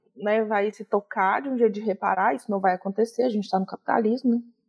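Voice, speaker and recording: A woman's fairly high voice in dry, close sound with no echo. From Minas Gerais, Brazil (Belo Horizonte / Brumadinho). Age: 30s. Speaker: lawyer. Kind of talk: interview.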